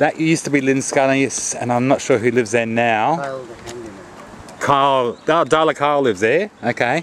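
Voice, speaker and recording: A man with an Irish accent talks at a moderate pace in a medium pitch. His pitch varies in an ordinary way, and there is noticeable background noise. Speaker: tourist. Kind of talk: casual chat.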